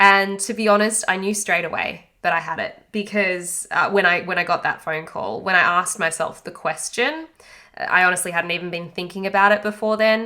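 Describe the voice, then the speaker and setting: Bright and sharp in tone, a woman with an Australian accent talks in a medium pitch at a moderate pace with ordinary pitch variation. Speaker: podcast host and anxiety coach. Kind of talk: podcast monologue. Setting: home isolation. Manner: casual, halting.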